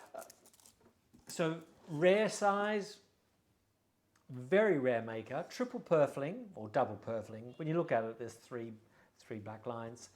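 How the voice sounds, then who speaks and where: A man with an Australian accent speaks fairly slowly in a fairly high voice, with long, frequent pauses. His pitch swings very widely and his loudness shifts a lot. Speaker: violin and bow dealer. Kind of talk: product showcase. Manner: casual, hesitant with fillers.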